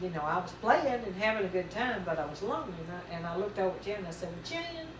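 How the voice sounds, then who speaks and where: With a Southern US accent, a woman of medium pitch talks at a very fast pace amid noticeable background noise and audible room echo. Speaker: mother telling family memories. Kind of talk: reminiscing storytelling. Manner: folksy, halting with fillers.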